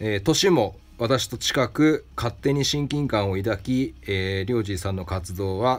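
A man talks fairly slowly in a normal speaking voice. His pitch is fairly low, with lively intonation. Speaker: craftsman and shop owner, podcast host. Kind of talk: solo advice talk answering listener mail.

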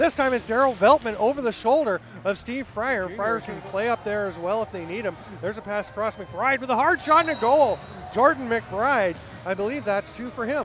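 A man talks fairly quickly in a high voice, his pitch varying in an ordinary way, with noticeable noise in the background. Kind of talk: live sports commentary. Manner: fast, excitable play-by-play delivery.

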